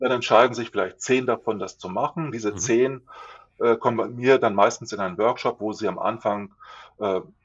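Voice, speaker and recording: Here is a man with a normal speaking voice. He speaks at medium pitch and a moderate pace. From Lower Saxony, Germany. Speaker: communications consultant. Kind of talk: interview.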